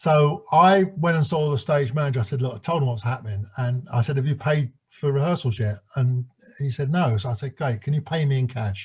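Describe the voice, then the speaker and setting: A man speaks at a fairly quick pace with a fairly high pitch and ordinary pitch variation. His voice is somewhat breathy. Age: 70s. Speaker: former stage manager. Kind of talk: interview. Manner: halting.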